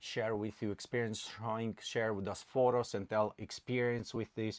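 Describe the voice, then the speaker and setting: A man's medium-pitched voice with a slight non-native accent, moderately paced, dry and close with no echo over a quiet background. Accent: slight foreign. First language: not English. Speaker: channel co-host. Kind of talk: livestream chat.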